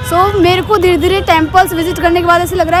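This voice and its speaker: A woman speaking with music in the background. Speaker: travel vlogger. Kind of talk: travel vlog. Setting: outdoors. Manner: casual, conversational.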